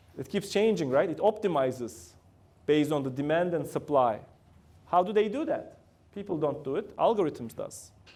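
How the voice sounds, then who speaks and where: Fairly high-pitched male voice with lively intonation, a moderate pace and a Turkish accent. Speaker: company founder and CEO giving guest talk. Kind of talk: lecture. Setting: university classroom with student audience.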